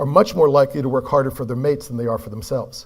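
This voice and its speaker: With an American accent, this man's voice sits fairly high. There is a somewhat breathy quality to it. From California, US. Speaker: performance coach. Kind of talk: conference keynote talk.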